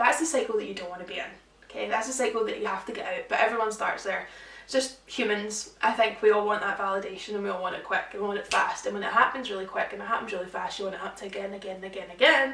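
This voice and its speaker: Amid noticeable background noise and audible room echo, a woman with a Scottish accent and a medium pitch talks at a very fast pace in an animated tone, with ordinary pitch variation and big swings in loudness. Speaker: social media influencer. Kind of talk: casual chat.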